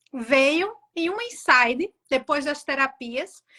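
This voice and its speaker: Very slowly, a woman projects a raised, high-pitched voice with a bright, sharp tone and very wide pitch swings. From Brazil. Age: 40s. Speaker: author. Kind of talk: interview.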